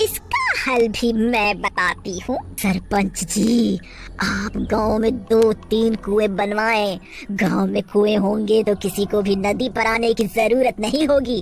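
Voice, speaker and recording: In a cartoonish character voice, a woman speaks fairly slowly at a fairly high pitch while clear background noise runs underneath. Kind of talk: cartoon moral story. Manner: scolding, self-assured.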